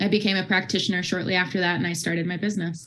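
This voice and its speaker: This woman has a bright, sharp tone and an American accent. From US Midwest. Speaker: subconscious health practitioner; podcast guest. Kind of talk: interview. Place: home room. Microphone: video call.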